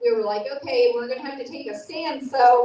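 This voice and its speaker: Lively intonation from a woman at a high pitch and moderate pace, with audible room echo. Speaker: speaker at a political rally. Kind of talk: impassioned speech. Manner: loud; animated.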